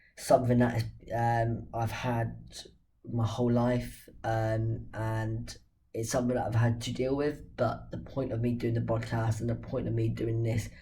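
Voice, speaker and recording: A man talks at a moderate pace, with audible echo from the room. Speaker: football channel host. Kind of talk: casual football talk to camera.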